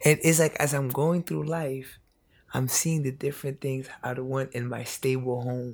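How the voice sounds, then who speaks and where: With an American accent and a plain, everyday voice, a man of medium pitch speaks at a moderate pace with fairly even intonation. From New York, the Bronx. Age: 20s. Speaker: youth educator. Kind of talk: casual chat. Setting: in person in the Bronx.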